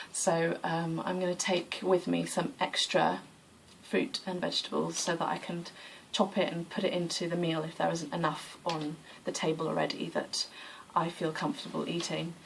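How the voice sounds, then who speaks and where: The woman's fairly low voice keeps a fairly even intonation, and her pace is moderate. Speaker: yoga practitioner vlogger. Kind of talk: casual vlog monologue.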